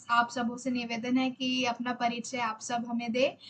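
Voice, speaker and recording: Her pitch high and her intonation monotone and flat, a woman is speaking. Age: 20s. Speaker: youth meeting host, engineering student. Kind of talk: meeting moderation. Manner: halting.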